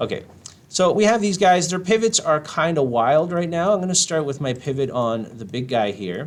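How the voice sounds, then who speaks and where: The speaker is a man. Very wide swings mark his pitch. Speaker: game art instructor. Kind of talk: tutorial. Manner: casual with many fillers; fast.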